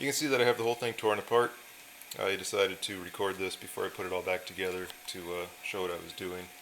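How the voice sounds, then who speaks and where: Over noticeable background noise, a man talks at a very fast pace with fairly low pitch and ordinary pitch variation. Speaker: electronics hobbyist. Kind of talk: casual talk to camera. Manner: hesitant, many fillers.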